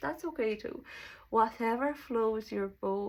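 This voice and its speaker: The recording is very clean, with a silent background. Speech moves at a fairly slow pace with ordinary pitch variation. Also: woman. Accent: Serbian. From Serbia. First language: Serbian. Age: 20s. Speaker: self-development vlogger. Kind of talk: casual monologue. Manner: halting.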